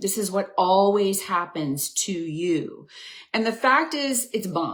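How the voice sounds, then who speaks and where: A woman speaks at a fairly slow pace in an animated tone. Her pitch swings very widely. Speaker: women's health coach and nurse. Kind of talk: live stream coaching talk.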